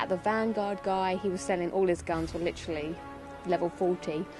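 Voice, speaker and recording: Over music in the background, a woman talks at a fairly quick pace. Her pitch is medium, with ordinary pitch variation. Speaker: gaming YouTuber. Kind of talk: video game commentary. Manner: casual.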